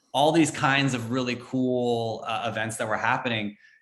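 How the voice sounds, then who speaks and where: The speaker has an unremarkable speaking voice with an American accent. Delivery comes at a moderate pace with fairly even intonation. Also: man. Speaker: former entertainment reporter. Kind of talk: casual podcast interview. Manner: many fillers and repetitions.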